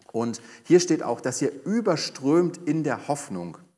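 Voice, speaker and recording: With vocal fry and very wide pitch swings, a man talks at a fairly slow pace over a quiet background. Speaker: pastor. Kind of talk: sermon.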